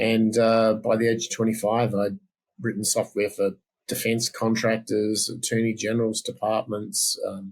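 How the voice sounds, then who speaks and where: A man talks at a moderate pace with an Australian accent, his pitch medium. His intonation is monotone and flat. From South Australia. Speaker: software developer and former musician. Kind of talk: interview. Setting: podcast.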